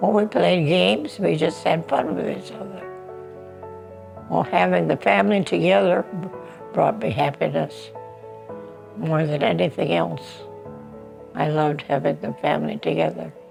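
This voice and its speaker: With music in the background, a woman with an American accent speaks, leaving long, frequent pauses. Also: moderate pace. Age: 80s+. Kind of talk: interview answer.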